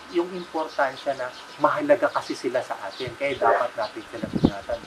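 Moderate pace from a man, noticeable background noise behind him. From Philippines. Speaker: educator. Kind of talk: closing remarks to parents and teachers. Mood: warm, earnest. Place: home room.

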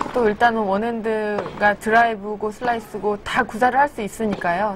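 Against noticeable background noise, a woman talks at a moderate pace and fairly high pitch. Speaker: tennis analyst co-commentator. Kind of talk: live sports commentary analysis.

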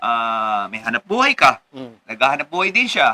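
Over light background noise, a man with a medium pitch and a bright, sharp tone speaks at a moderate pace. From Philippines. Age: 40s. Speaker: lawyer and local politician; lawyer, local politician. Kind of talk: casual interview. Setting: at the guest's home. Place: home room.

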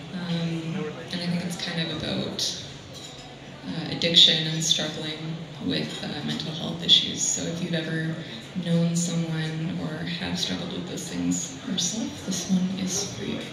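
A woman at a fairly low pitch with fairly even intonation and a fairly slow pace, with audible room echo and noticeable background noise. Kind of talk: song introduction to audience. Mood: earnest, soft-spoken. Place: cafe. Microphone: camera far.

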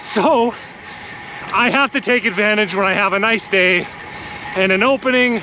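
A man uses a raised, projected voice at a high pitch, keeping his loudness very even and leaving long, frequent pauses. The sound is dry with no echo, and background noise is noticeable. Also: ordinary pitch variation, moderate pace. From Canada. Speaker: cycling vlogger. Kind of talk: casual vlog monologue. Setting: outdoors, on a bike ride. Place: bicycle. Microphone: phone near.

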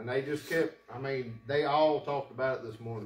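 With light background noise and audible room echo, a man speaks at a moderate pace. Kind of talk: testimony to a congregation. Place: church.

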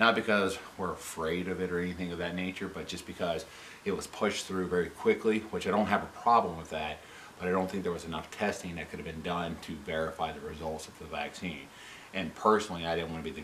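A man with a very deep, low pitch and fairly even intonation talks at a very fast pace over light background noise. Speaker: vlogger. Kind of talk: opinion vlog rant. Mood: frustrated, critical. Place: home room.

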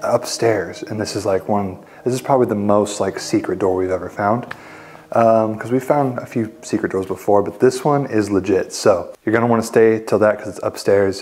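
A man is speaking here. His pace is fairly quick and his intonation fairly even. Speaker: urban explorer vlogger. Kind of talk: casual vlog chat. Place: home room.

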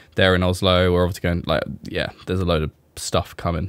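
In a very deep, low voice, a man with an English accent talks at a fairly quick pace, the sound dry with no echo. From England. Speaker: e-commerce brand owner and vlogger. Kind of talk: casual monologue update; casual podcast update chat. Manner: hesitant with many fillers. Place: home room. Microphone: studio mic.

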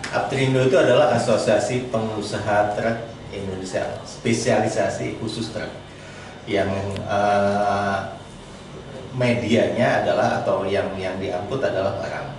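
The clip carries noticeable background noise and audible room echo. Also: man, fairly slow pace. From Banten, Indonesia. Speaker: trucking association chairman. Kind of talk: interview. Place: studio.

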